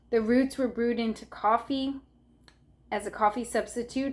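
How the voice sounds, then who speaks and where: Her speaking voice is unremarkable and fairly high-pitched. The woman keeps a moderate pace. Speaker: herbalist YouTuber. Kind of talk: tutorial. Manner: casual, with fillers.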